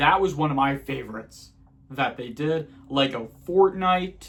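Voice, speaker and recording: The voice belongs to a man with a fairly high pitch. It sounds somewhat breathy. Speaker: gaming YouTuber. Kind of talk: casual vlog monologue. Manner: halting, self-correcting.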